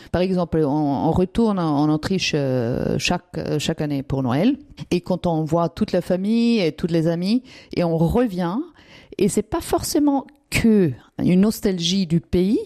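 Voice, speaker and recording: Woman with an Austrian accent, fairly low pitch and a dark, mellow tone, at a fairly slow pace with very even loudness, in a dry, close sound with no echo. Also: lively intonation. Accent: German-speaking Austrian accent in French. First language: German (Austrian) (speaking French). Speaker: immigrant interviewee. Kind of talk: interview testimony. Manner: hesitant, many fillers.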